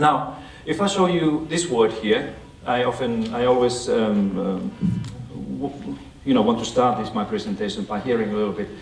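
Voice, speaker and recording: The speaker has a Finnish accent and lively intonation at a moderate pace. Audible room echo and noticeable background noise fill the recording. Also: man, medium pitch for a man. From Finland. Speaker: education expert and author. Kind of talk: lecture. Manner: halting.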